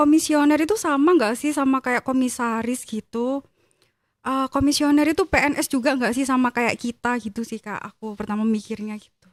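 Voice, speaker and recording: In a dry, close sound with no echo, a woman with a high pitch talks at a fairly quick pace, her loudness swinging widely. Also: ordinary pitch variation, very clean recording, silent background. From Gresik, East Java, Indonesia. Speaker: civil servant at election commission. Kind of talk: casual interview chat.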